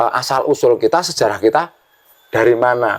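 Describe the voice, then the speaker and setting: A man at a moderate pace. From Java, Yogyakarta. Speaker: village head. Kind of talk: podcast interview. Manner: hesitant, many fillers.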